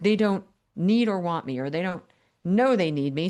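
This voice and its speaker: With an ordinary speaking voice, a woman talks at a fairly low pitch and moderate pace with lively intonation over a quiet background. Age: 60s. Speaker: business coach. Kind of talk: podcast interview. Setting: podcast.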